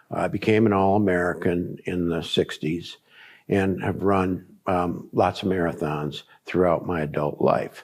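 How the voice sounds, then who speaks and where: On a very clean recording with a silent background, a man with a very deep, low pitch speaks at a fairly slow pace. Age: 70s. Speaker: cancer survivor, former athlete. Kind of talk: testimony. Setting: documentary interview. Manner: halting, many fillers.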